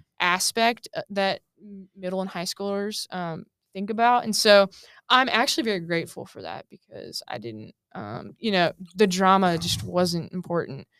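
With an American accent and a normal speaking voice, a woman at medium pitch talks at a moderate pace with lively intonation and big swings in loudness. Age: 20s. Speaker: former college basketball team manager. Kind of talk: interview. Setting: studio.

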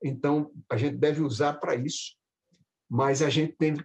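A man with a fairly high-pitched, somewhat breathy voice speaks at a fairly slow pace. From Brazil, Recife (Pernambuco). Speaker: professor of medical education. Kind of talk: interview conversation.

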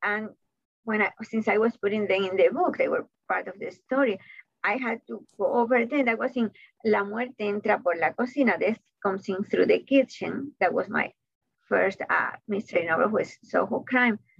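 In a Cuban accent, a woman speaks at a moderate pace with a fairly high pitch and ordinary pitch variation. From Cuba (Havana). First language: Spanish. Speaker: author and college professor. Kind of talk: interview.

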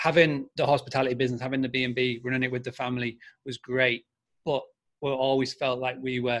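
With a Yorkshire accent, a man talks at a fairly quick pace and a medium pitch. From Scarborough, North Yorkshire, England. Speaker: marketing agency founder. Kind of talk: interview. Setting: video call from Spain.

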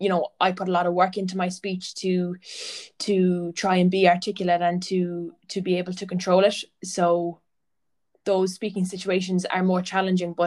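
A woman in an Irish accent, medium pitch, moderate pace and monotone, flat intonation. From Irish Midlands (County Laois). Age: 20s. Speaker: PhD student and athletic therapist. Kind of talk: casual interview. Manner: occasional stammer, mostly fluent.

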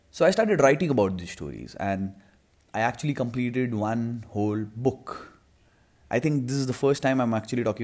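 A man with an Indian accent, medium in pitch, with ordinary pitch variation. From India, Mumbai. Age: 20s. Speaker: podcaster and filmmaker. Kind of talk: solo podcast monologue.

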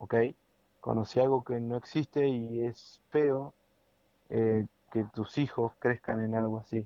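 A man talks at a medium pitch in a Rioplatense accent, with fairly even intonation. His pace is very slow, with long, frequent pauses. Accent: Argentine Rioplatense Spanish. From Argentina, Entre Ríos. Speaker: podcast co-host. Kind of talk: casual chat. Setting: home recording.

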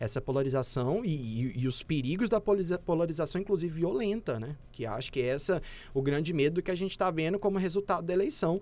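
On a very clean recording with a silent background, a man speaks in a high voice. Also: lively intonation, fairly quick pace. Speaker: communication professor. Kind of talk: casual interview.

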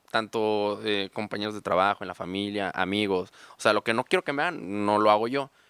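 Pitched fairly low, a man speaks in a plain, everyday voice at a fairly quick pace. The sound is dry and close with no echo, in a very clean recording over a silent background. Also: ordinary pitch variation. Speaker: car salesman. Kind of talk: casual chat.

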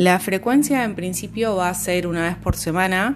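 A woman speaks with an Argentine accent. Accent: Argentine Spanish (voseo). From Argentina (province outside Buenos Aires). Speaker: ontological coach and mindfulness teacher. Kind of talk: casual introduction; guided meditation. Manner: slow, calm.

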